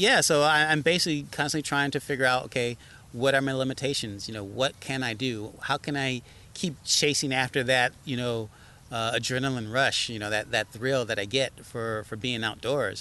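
A man speaks at a moderate pace with a bright, sharp tone. His pitch is medium with ordinary variation, and the background is quiet. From Chicago. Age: 40s. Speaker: entrepreneur and search and rescue volunteer. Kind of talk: casual interview. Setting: outdoors in a park. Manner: halting, repeats words.

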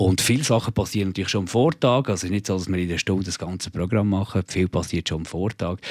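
A man speaks very fast in a very deep, low voice with ordinary pitch variation and hardly any pauses. The sound is dry and close, with no echo. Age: 40s. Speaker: radio host. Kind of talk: interview. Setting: studio.

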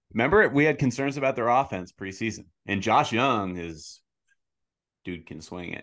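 Lively intonation and big swings in loudness mark a normal speaking voice heard over a quiet background. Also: man, medium pitch for a man, moderate pace. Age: 20s. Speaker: baseball podcast host. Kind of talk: casual chat.

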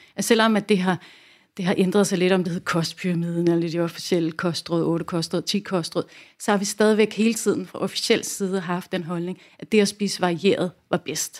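With a plain, everyday voice, a woman speaks at a moderate pace in a medium pitch with fairly even intonation, in a very clean recording with a silent background. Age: 40s. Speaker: nutrition coach and educator. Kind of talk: casual interview chat.

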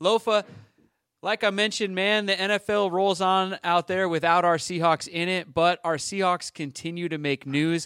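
Loud and high-pitched, a man with a bright, sharp tone speaks at a moderate pace and fairly even intonation, in a dry, close sound with no echo on a very clean recording with a silent background. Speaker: sports podcast host. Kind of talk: casual chat.

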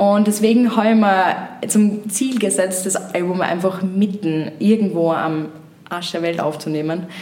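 Against noticeable background noise and audible room echo, a woman talks at a medium pitch and a fairly slow pace. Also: ordinary pitch variation. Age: 20s. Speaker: singer-songwriter. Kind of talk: casual interview.

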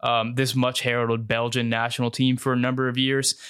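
A medium-pitched man in a monotone, flat delivery. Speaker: soccer commentator and YouTuber. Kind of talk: scripted-style video commentary. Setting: home video channel recording. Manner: conversational with hesitations.

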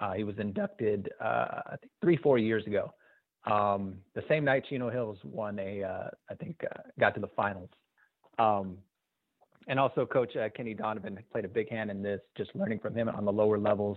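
An American-accented man talks at a moderate pace with an ordinary speaking voice and ordinary pitch variation. His pitch is fairly low, and his loudness swings a lot. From Southern California (Azusa). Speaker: youth basketball coach and game videographer. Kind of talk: casual interview.

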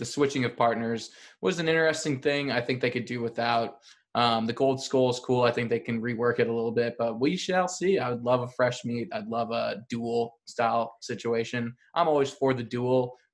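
Over a quiet background, a man with an unremarkable speaking voice talks at a moderate pace, medium in pitch and with fairly even intonation. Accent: American. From Chicago. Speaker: reality TV podcaster. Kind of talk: casual chat.

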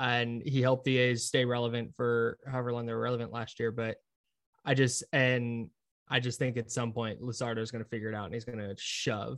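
A man speaks at a fairly quick pace with an American accent. His medium-pitched delivery is flat and monotone. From US West Coast, Brentwood, California (East Bay). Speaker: sports radio producer and host. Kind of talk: casual chat. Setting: office, down the hall.

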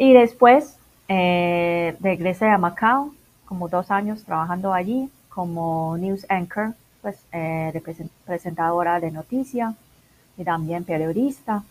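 The loudness rises and falls sharply at a very slow pace, with ordinary pitch variation. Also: woman, fairly low pitch for a woman. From Macau. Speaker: internationalization consultant. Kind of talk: interview.

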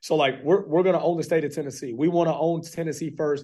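Over a quiet background, a man with a Texan accent speaks at a very fast pace. His pitch is fairly high and his tone is dark and mellow. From Texas, Fort Worth. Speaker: college football coach. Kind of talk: radio interview. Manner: animated.

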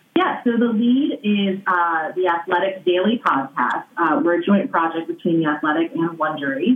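With an American accent, a woman at medium pitch talks at a moderate pace with lively intonation and very even loudness while noticeable background noise runs behind her. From US. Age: 30s. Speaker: sports journalist and podcast host. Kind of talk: interview. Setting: remote call.

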